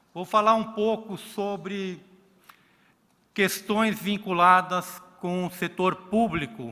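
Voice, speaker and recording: A man with a Brazilian accent speaks in a raised, projected voice with a bright, sharp tone and high pitch. His pitch varies in an ordinary way, and his pace is very slow. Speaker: accounting regulator. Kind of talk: conference talk.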